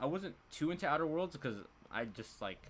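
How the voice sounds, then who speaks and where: A man speaks at a fairly quick pace in a fairly high pitch, with vocal fry and very wide pitch swings. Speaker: gaming YouTuber and streamer. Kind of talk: casual live stream chat. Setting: home live stream on webcam. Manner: fast.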